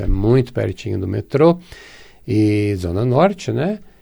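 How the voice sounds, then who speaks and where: In a dark, mellow tone, a man speaks at a fairly low pitch and a fairly slow pace. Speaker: radio host and therapist. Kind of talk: radio show monologue.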